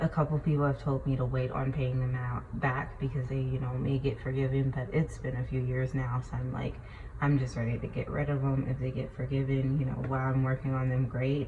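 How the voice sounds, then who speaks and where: A woman speaks with a very deep, low pitch in a monotone, flat intonation, leaving hardly any pauses. Noticeable background noise is present. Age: 20s. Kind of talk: casual talk to camera. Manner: hesitant, conversational.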